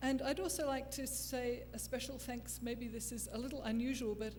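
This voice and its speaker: With an Australian accent, a woman speaks at a moderate pace amid audible room echo and noticeable background noise. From Australia, Canberra. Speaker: forensic phonetics expert. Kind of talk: lecture.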